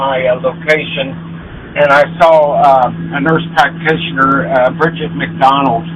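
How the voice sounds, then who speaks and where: Noticeable background noise is present as a man speaks at a moderate pace. His pitch is fairly high and his intonation fairly even. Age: 60s. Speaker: military veteran, caller. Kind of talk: phone-in call. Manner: halting, many fillers.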